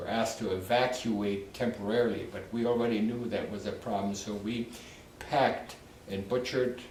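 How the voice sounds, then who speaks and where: In a room with audible echo and noticeable background noise, a man of medium pitch speaks at a moderate pace with monotone, flat intonation. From Poland. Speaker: war survivor. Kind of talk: testimony. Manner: halting.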